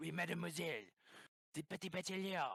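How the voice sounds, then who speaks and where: In a put-on character voice with a strong French accent, a man rattles off words at a very fast pace, his tone raspy and his pitch high. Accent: thick stereotyped French. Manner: exaggerated.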